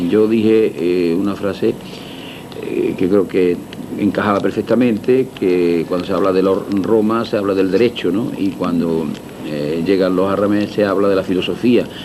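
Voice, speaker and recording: Noticeable background noise accompanies a man at a fairly low pitch, speaking at a fairly slow pace with fairly even intonation. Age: 60s. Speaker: restaurateur. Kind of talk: interview. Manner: halting.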